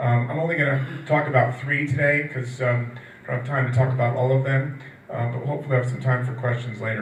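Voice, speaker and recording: A man talks very fast at a medium pitch with fairly even intonation. Audible room echo and noticeable background noise are present. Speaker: nutrition industry analyst. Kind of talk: conference talk.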